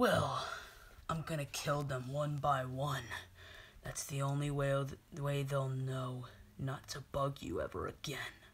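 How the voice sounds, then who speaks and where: A cartoonish character voice at a low-to-middle pitch, fairly slow, with long, frequent pauses. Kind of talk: puppet show horror parody. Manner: smug, taunting, menacing.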